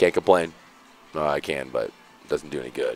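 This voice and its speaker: Music plays in the background as a man with an American accent talks at a moderate pace, the sound dry and close with no echo. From Seattle, US Pacific Northwest. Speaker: esports commentator. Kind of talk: casual chat during live stream commentary.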